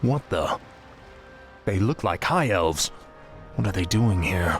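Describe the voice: Faint music plays behind a man putting on a character voice, low in pitch with lively intonation. He speaks at a slow pace.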